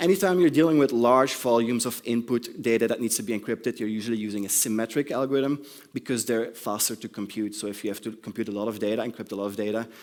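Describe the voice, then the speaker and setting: At a very fast pace and with hardly any pauses, a man with a non-native accent speaks at a medium pitch with ordinary pitch variation. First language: not English. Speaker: conference speaker. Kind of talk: conference talk. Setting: stage with audience. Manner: hesitant, many ums.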